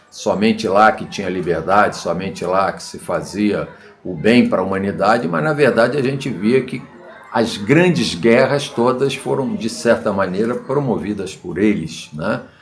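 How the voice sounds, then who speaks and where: The speaker talks at a moderate pace with lively intonation and big swings in loudness, with audible room echo and music in the background. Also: man, medium pitch for a man. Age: 70s. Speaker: political commentator. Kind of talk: video monologue. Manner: halting.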